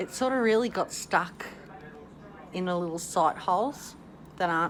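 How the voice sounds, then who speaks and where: With noticeable background noise, a woman speaks at medium pitch and a fairly slow pace, with ordinary pitch variation and long, frequent pauses. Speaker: vlogger sharing denture experience. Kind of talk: casual video diary. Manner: casual, rambling with self-corrections.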